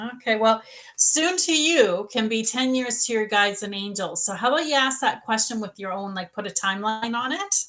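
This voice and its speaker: A woman's fairly high voice moves at a fairly quick pace with lively intonation, noticeable background noise beneath it. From Canada. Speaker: psychic medium. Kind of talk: live psychic reading.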